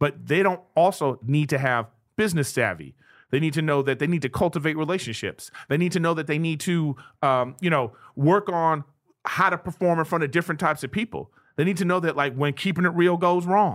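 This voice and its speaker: Speaking in a plain, everyday voice, a man uses a fairly high pitch with ordinary pitch variation. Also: fairly quick pace, very clean recording, silent background. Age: 40s. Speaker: comedian and podcast host. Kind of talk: casual chat. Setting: studio.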